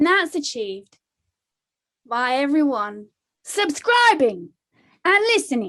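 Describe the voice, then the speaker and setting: A woman's high-pitched voice, bright and sharp in tone, with very wide pitch swings, a very slow pace and long, frequent pauses, on a very clean recording with a silent background. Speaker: meditation show host. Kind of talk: casual chat.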